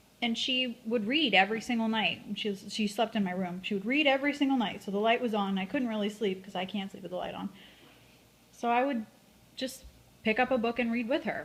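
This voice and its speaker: Her voice somewhat breathy, a woman talks fairly quickly at a fairly high pitch with ordinary pitch variation. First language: Spanish. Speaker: interviewee. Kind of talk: interview. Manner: hesitant, many fillers.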